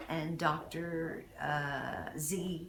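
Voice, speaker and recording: Audible room echo surrounds a woman's voice. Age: 60s. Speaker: dental patient. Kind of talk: testimonial. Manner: halting, many fillers.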